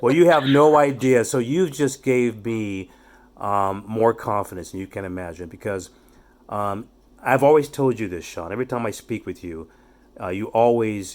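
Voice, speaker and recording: Speaking at a moderate pace, a man uses a normal speaking voice of medium pitch and ordinary pitch variation. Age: 60s. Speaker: youth development speaker. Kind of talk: casual chat.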